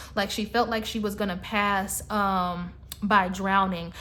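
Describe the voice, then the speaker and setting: Audible room echo surrounds a woman talking fairly slowly at medium pitch in a monotone, flat intonation. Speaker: psychic reader. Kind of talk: psychic reading monologue. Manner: halting, many fillers.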